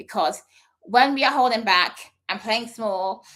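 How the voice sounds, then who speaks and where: Here a woman speaks at a fairly high pitch and a moderate pace. Her pitch varies an ordinary amount. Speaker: speaker coach. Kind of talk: live session monologue. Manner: stumbles over words.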